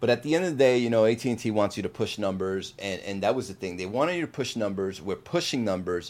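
With an American accent and an animated, enthusiastic tone, a man with fairly low pitch talks at a very fast pace, with lively intonation and hardly any pauses. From New Jersey. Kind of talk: casual interview chat.

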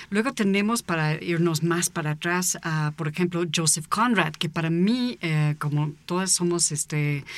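A woman with an ordinary speaking voice, fairly low in pitch, at a fairly slow pace with fairly even intonation. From United States. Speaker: author and visual artist. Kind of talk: casual chat.

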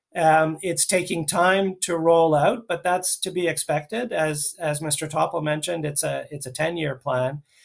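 A man's ordinary speaking voice, fairly high in pitch, at a moderate pace. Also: fairly even intonation. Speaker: panelist think tank head. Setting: video call.

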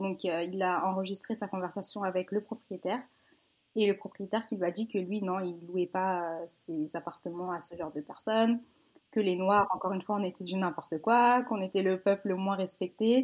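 A woman's plain, everyday voice at medium pitch and moderate pace, on a very clean recording with a silent background. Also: fairly even intonation. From France, Paris region. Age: 20s. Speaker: children's book author. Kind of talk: casual interview.

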